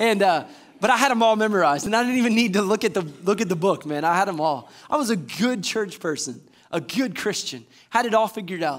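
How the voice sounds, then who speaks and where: Animated and at a very fast pace, a man speaks in a high voice with lively intonation. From US South, Georgia (Warner Robins). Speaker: assistant pastor. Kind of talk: sermon. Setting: church. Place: church.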